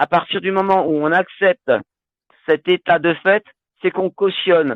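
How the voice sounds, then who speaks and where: Speaking at a fairly slow pace, a man has a high pitch. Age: 60s. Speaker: health talk presenter. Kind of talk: live online talk with Q&A. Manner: hesitant, many fillers.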